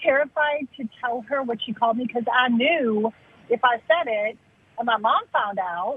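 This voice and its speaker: A woman's high-pitched voice comes at a moderate pace, with noticeable background noise behind it. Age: 60s. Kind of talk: casual chat.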